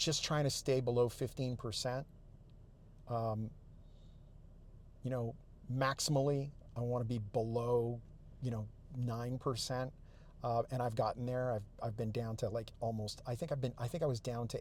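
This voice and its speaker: Somewhat breathy and medium in pitch, a man speaks at a moderate pace with fairly even intonation and long, frequent pauses. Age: 60s. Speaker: fitness vlogger. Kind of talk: casual monologue. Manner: halting with fillers and repetitions.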